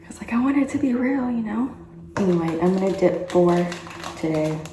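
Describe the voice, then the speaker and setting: A woman's fairly low voice amid noticeable background noise and audible room echo. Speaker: vlogger. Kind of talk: personal vlog. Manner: whispering.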